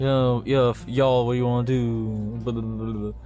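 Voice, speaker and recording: A man mumbling in a put-on character voice at a moderate pace, with clear background noise. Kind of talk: casual slang.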